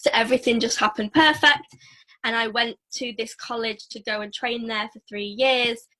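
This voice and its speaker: Moderately paced speech from a woman with a northern English accent, bright and sharp in tone, at a fairly high pitch with fairly even intonation. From northern England. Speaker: network marketer and former dancer. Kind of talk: casual interview.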